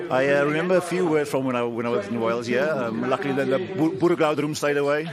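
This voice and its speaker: Talking at a very fast pace, a man with a South African accent and a fairly high pitch is heard with audible room echo and noticeable background noise. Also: ordinary pitch variation. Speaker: rugby player. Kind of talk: post-match pitchside interview. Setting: pitchside at a rugby match.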